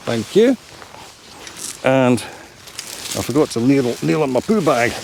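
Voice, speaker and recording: Lively intonation marks this man's speech. He has a Scottish accent, heard over noticeable background noise. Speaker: hobby photographer. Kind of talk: casual vlog talk to camera. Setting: outdoors, woodland. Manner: slow, unhurried.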